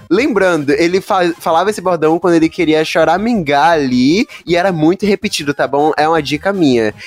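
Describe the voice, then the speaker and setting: Over music in the background, a man speaks at a high pitch in an animated tone with ordinary pitch variation. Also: moderate pace. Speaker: podcast host. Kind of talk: casual chat.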